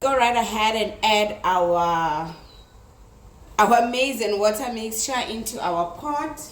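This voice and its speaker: Amid noticeable background noise and audible room echo, a woman speaks very slowly at a fairly high pitch with lively intonation. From South Africa, Limpopo. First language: Tsonga. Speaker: cooking youtuber. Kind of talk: cooking tutorial. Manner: casual, chatty.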